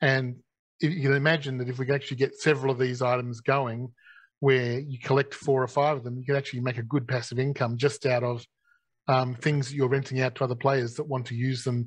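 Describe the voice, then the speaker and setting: Somewhat breathy and very fast, the voice has an Australian accent and monotone, flat intonation. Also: man. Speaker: gaming company executive. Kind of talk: live Q&A session.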